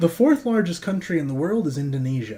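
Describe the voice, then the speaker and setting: An American accent comes through here. Delivery moves at a moderate speed. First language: Russian. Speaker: political livestream co-host. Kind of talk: casual political discussion.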